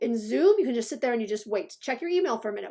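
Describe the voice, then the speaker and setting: At a very fast pace, a woman talks in a high-pitched voice with a dark, mellow tone and very wide pitch swings. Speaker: instructional designer. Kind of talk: tutorial. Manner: halting.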